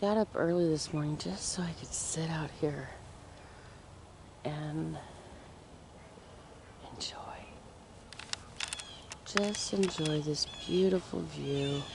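The pace is very slow, with long, frequent pauses. The sound is dry with no echo, though there is noticeable background noise. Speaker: camper vlogger. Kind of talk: casual vlog chat. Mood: calm, appreciative. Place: waterside. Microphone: phone near.

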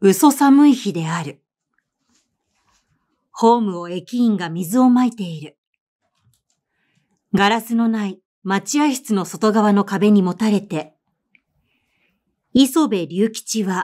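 Speaking very slowly with long, frequent pauses, a woman has a fairly high pitch, a dark, mellow tone, and big swings in loudness. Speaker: voice actor and narrator. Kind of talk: audiobook literary reading.

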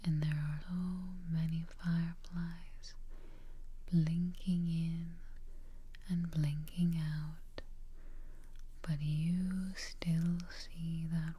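A woman's fairly low, monotone voice at a very slow pace, with flat intonation and long, frequent pauses. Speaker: relaxation guide. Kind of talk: guided meditation, soft-spoken.

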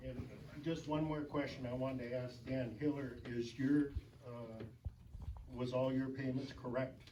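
There is audible room echo as a man talks in a monotone, flat intonation at a fairly slow pace. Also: medium pitch for a man. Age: 70s. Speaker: township official. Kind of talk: public comment at council meeting. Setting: city council meeting. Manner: halting.

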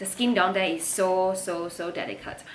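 A woman speaks at a moderate pace and with ordinary pitch variation, with light background noise behind her. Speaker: vlogger. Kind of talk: sponsored product review chat. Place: home room. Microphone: phone near.

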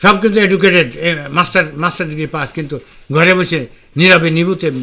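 A man is speaking. His tone is bright and sharp. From Bangladesh, Chuadanga; Bangladesh. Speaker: poet and retired mill executive; poet. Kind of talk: interview. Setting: outdoors, public library. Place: home room.

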